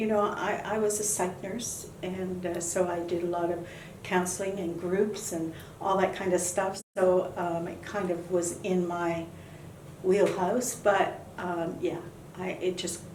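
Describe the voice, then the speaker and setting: A woman with a Canadian accent speaks at a moderate pace and medium pitch in a monotone, flat intonation. Audible room echo and noticeable background noise fill the recording. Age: 70s. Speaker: bereaved mother of a fallen soldier. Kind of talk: interview. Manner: halting, with many fillers.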